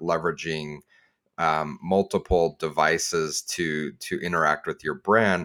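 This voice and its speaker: Over a silent background in a very clean recording, a man with a very deep, low pitch speaks in a bright, sharp tone with fairly even intonation. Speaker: podcast co-host, analytics professional. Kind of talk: casual roundtable chat.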